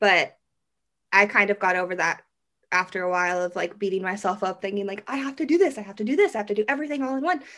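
A woman's bright, sharp voice at a medium pitch, with a Midwestern US accent, a very fast pace and lively intonation. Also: very clean recording, silent background. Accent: US Midwest. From Kansas, Derby near Wichita. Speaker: wedding photographer. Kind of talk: podcast interview.

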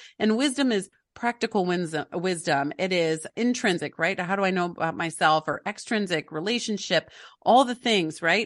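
A woman with a normal speaking voice, medium pitch and ordinary pitch variation, at a moderate pace over a quiet background. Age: 40s. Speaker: family life coach and author. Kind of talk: interview.

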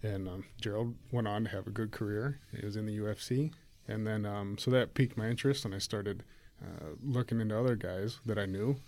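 A man with an American accent and an unremarkable speaking voice, fairly low in pitch, with fairly even intonation and a fairly quick pace. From rural Ohio. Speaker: former wrestler. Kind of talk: casual chat.

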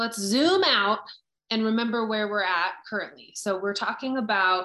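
A woman with an unremarkable speaking voice, medium pitch and ordinary pitch variation. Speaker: presenter. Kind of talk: webinar presentation. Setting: video call.

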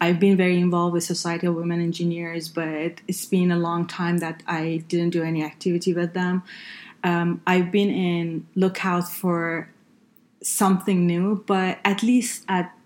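A woman with a fairly low pitch speaks at a fairly slow pace in a monotone, flat intonation, recorded very cleanly against a silent background. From northern Iran. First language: Persian (Farsi). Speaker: healthcare consultant and engineer. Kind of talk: interview. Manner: halting, many fillers.

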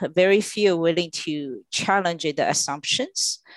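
A woman with a Chinese accent speaks at a moderate pace and medium pitch, her intonation lively. The sound is dry and close with no echo, over a quiet background. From China. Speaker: clean tech executive. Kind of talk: interview.

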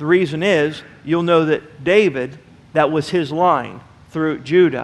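This man has a plain, everyday voice. He talks at a fairly slow pace with a fairly high pitch. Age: 40s. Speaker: pastor. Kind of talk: sermon.

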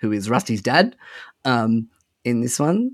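This man has an Australian accent and a medium pitch, speaking at a moderate pace. The recording is very clean, with a silent background. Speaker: podcaster and father. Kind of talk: casual chat.

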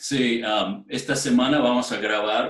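This man speaks at a very slow pace. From outside Spain. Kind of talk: interview. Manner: halting.

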